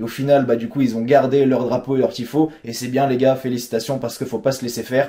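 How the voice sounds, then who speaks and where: Over noticeable background noise, a man of medium pitch speaks very fast in a monotone, flat delivery. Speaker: football vlogger. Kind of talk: casual chat.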